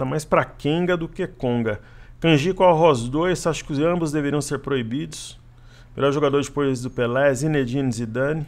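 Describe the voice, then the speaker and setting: A man talks at a moderate pace in a fairly high pitch, with an ordinary speaking voice over a quiet background. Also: ordinary pitch variation. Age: 40s. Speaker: stock market trader and analyst. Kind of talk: casual Q&A with viewers; market analysis commentary.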